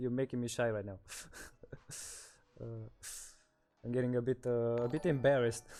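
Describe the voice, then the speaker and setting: A man with a Romanian accent and a dark, mellow tone, at a moderate pace with long, frequent pauses. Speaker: streamer. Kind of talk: casual chat. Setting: livestream from shared room. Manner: halting.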